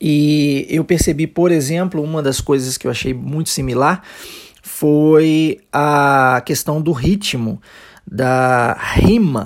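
Speaking at a very slow pace, a man has a Brazilian accent. His pitch is fairly high with ordinary variation. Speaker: English teacher. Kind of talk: language lesson podcast.

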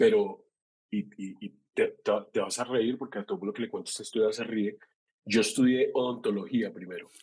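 A man talks at a moderate pace. His loudness swings widely throughout. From Colombia. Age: 40s. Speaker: creative producer. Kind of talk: casual interview. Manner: halting, many repetitions.

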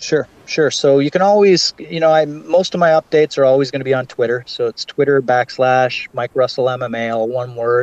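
Fairly high-pitched, a man talks at a moderate pace with hardly any pauses and ordinary pitch variation, in a dry, close sound with no echo. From Ontario, Canada. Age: 40s. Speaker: MMA investigative journalist. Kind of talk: interview. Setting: call.

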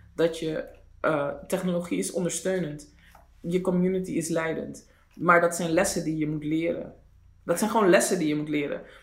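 Audible room echo carries a man's high-pitched voice. His intonation stays fairly even. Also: moderate pace. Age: 40s. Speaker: podcast co-host. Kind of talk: casual chat.

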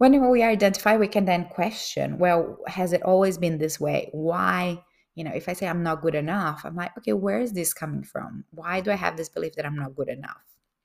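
A woman speaks at a fairly quick pace with hardly any pauses. Her fairly low voice has vocal fry and lively intonation. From Brazil. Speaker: life coach. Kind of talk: online course lecture.

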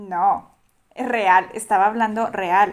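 The recording is very clean, its background silent. A woman talks at a fairly high pitch, her intonation fairly even. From Durango, Mexico. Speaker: podcast guest, traveler. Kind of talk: casual chat.

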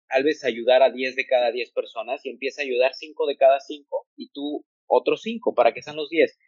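His volume rising and falling sharply, a man talks fairly slowly. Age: 20s. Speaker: psychologist. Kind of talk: advice talk in podcast interview.

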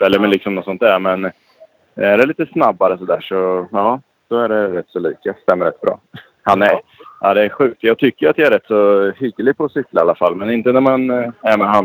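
In a dry, close sound with no echo, a man speaks at a fairly quick pace and fairly low pitch with ordinary pitch variation. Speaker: motocross and rally rider. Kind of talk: casual interview.

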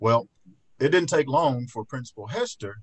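The voice has an Alabama accent and sounds somewhat breathy. It moves at a fairly quick pace. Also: man. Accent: Southern US (Alabama). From US South, rural Fayette County, Alabama. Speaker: trial lawyer. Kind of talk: casual interview chat. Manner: frequent filler words (uh).

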